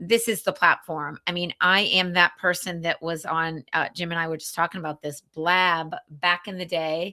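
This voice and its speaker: Over a silent background in a very clean recording, a woman talks in a bright, sharp tone with fairly even intonation and big swings in loudness. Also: fairly low pitch for a woman, moderate pace. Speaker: business coach. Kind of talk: casual chat.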